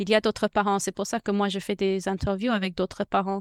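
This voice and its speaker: In an English accent, the speaker talks at a fairly quick pace with monotone, flat intonation, in a dry, close sound with no echo. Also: woman. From United States. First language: English (speaking French). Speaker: podcaster and bilingual parenting advisor. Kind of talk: interview. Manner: halting; talkative.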